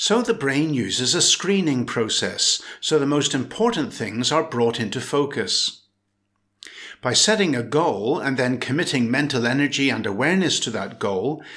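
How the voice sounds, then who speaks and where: A man's fairly high, bright, sharp voice with very wide pitch swings, at a moderate pace. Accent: British. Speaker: English teacher. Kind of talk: language lesson reading. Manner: clear, normal pace.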